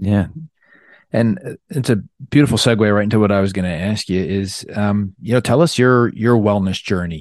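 Over a quiet background, a man with a normal speaking voice talks at a moderate pace, his fairly low pitch showing ordinary variation. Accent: American. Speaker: podcast host and surgeon. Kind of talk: podcast interview. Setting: remote call.

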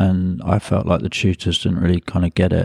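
A man with a London accent speaks at a very deep, low pitch, the sound dry and close with no echo. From London, England (Hackney). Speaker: artist and photographer. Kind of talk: interview conversation. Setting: host's home. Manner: hesitant with many fillers.

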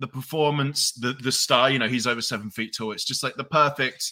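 Heard on a very clean recording with a silent background, a man's bright, sharp voice moves with ordinary pitch variation. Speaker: podcast co-host. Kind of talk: casual podcast chat.

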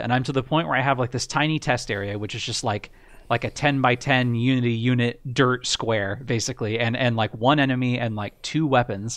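Over a quiet background, a man speaks in a plain, everyday voice. He keeps a medium pitch, a moderate pace and fairly even intonation. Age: 30s. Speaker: indie game developer. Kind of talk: casual chat.

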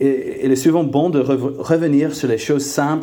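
In an English accent, a man with a medium pitch and a dark, mellow tone talks at a fairly slow pace with ordinary pitch variation and audible room echo. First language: English (speaking French). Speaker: preacher. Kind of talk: sermon. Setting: church. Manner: halting, many fillers and repeated words.

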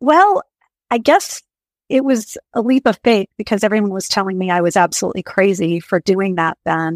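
A woman with an American accent uses an ordinary speaking voice at medium pitch, with ordinary pitch variation and a moderate pace. The sound is dry and close with no echo, on a very clean recording with a silent background. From rural Maine, US. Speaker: executive recruiter. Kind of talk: interview. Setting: podcast.

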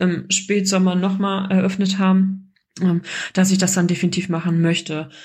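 A woman's medium-pitched voice comes out somewhat breathy and monotone, with flat intonation. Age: 30s. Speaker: course graduate sharing success story. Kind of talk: personal testimony.

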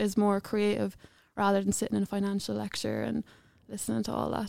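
A woman's dark, mellow voice in an Irish Midlands accent, medium in pitch and fairly quick, in a dry, close sound with no echo. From Ireland, County Offaly. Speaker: university student. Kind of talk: podcast interview.

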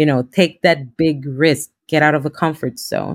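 A woman speaks at a fairly slow pace with a very deep, low pitch. The recording is very clean, with a silent background. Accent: Spanish. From Honduras. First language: Spanish. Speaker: law school program director and lawyer. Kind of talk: interview.

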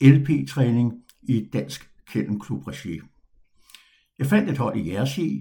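Speaking very slowly, a man uses a medium-pitched, dark, mellow voice with vocal fry and lively intonation. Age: 70s. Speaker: podcast host and retired dog trainer. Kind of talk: personal storytelling monologue.

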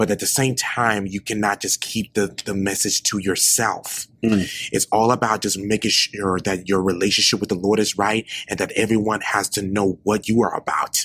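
Dry and close with no echo, this voice has an American accent and a monotone, flat intonation. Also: man, fairly low pitch for a man, moderate pace. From Memphis, Tennessee. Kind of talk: casual interview. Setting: church choir room. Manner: halting.

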